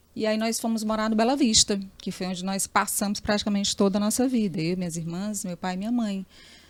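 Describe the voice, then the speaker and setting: Speaking at a fairly quick pace, a woman has an ordinary speaking voice of medium pitch. Her intonation is fairly even on a very clean recording with a silent background. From Piauí, Brazil (Teresina). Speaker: journalist. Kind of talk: interview.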